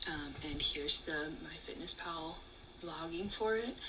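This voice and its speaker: Noticeable background noise fills the recording. Through it, a woman speaks in a fairly low pitch. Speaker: channel member sharing diet vlog. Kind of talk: video diary.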